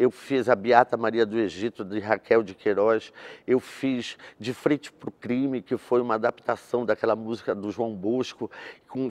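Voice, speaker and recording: Intonation stays fairly even as a man talks. His pace is moderate. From Belém, Pará, Brazil; Pará, Brazil. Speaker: actor and theatre director; actor. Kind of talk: interview. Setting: theatre. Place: stage. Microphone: lapel.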